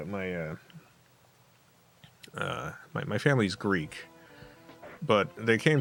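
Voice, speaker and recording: Fairly low-pitched male voice with a New Jersey accent, at a fairly slow pace over music in the background. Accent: mild New Jersey accent on some words. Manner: casual, halting, with fillers.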